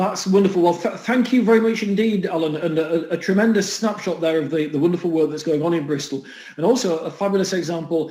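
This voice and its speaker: This man speaks very fast in a Yorkshire accent, his high voice showing ordinary pitch variation. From Huddersfield, northern England. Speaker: event host. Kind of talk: event moderation.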